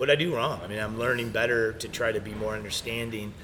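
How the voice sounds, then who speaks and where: A man's medium-pitched voice at a fairly quick pace, with audible room echo and noticeable background noise. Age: 50s. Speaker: brewery owner. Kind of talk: casual interview conversation.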